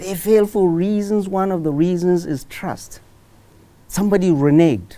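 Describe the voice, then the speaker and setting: A man speaks at a high pitch in a dark, mellow tone with ordinary pitch variation. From Nigeria, Katsina State; Nigeria. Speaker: professor of medicine and public commentator; professor of medicine, public commentator. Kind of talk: TV interview. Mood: earnest, persuasive. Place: studio. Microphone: lapel.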